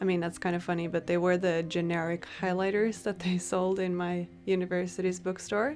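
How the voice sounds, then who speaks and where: A woman speaks at a fairly quick pace with a slight Norwegian accent, her fairly low voice holding fairly even intonation and very even loudness with hardly any pauses. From Norway. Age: 20s. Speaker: journaling YouTuber. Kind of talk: casual Q&A vlog.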